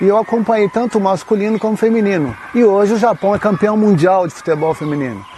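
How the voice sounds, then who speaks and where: Over noticeable background noise, a man with a high pitch speaks very fast with hardly any pauses and ordinary pitch variation. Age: 60s. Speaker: women's football coach. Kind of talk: interview.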